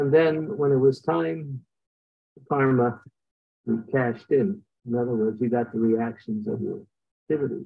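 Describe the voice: At a moderate pace and medium pitch, a man speaks with fairly even intonation, vocal fry and a slightly husky edge.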